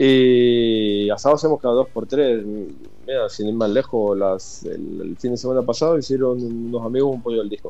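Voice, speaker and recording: Fairly even intonation marks this voice, which keeps a moderate pace. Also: man, medium pitch for a man. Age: 40s. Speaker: emigrant interviewee. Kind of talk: casual interview. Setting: WhatsApp call. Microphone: phone line.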